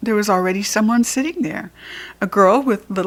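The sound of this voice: The reading voice is unforced. Pitch rises and falls in an ordinary way.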